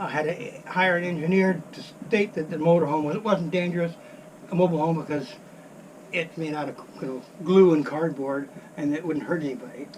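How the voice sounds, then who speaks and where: A man talks at a fairly quick pace with long, frequent pauses. His fairly high voice keeps fairly even intonation against noticeable background noise. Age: 70s. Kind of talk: interview answer.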